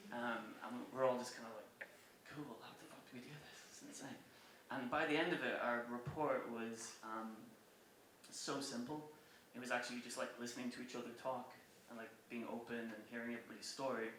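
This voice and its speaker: A man with a Cork accent talks fairly quickly at medium pitch with fairly even intonation and big swings in loudness, amid audible room echo and noticeable background noise. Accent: Cork Irish. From Ireland, rural County Cork. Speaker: music publisher and former touring musician. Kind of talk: public talk. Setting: stage with audience. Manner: casual, with many fillers.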